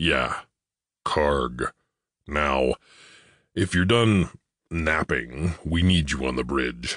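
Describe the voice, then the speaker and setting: A man puts on a character voice with a very deep, low pitch and a very slow pace. Long, frequent pauses break up his speech against a quiet background. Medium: read story. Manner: blunt, plain-spoken.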